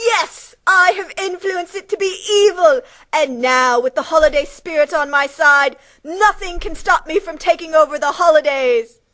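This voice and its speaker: At a moderate pace, a woman does a cartoonish character voice pitched extremely high. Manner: falsely sweet, then angry.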